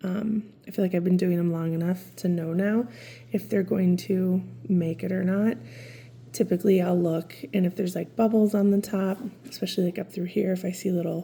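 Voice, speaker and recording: Somewhat breathy, with a dark, mellow tone, a woman speaks at a medium pitch and a fairly quick pace. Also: fairly even intonation. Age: 40s. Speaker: lifestyle vlogger. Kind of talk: casual chat. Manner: casual, filler-heavy.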